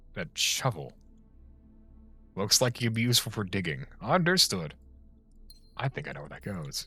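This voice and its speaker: Over background music, a man with a fairly low pitch talks at a moderate pace, with very wide pitch swings, big swings in loudness, and long, frequent pauses. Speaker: video game streamer. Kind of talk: live gameplay stream. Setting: live stream. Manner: animated; stumbles on words at times.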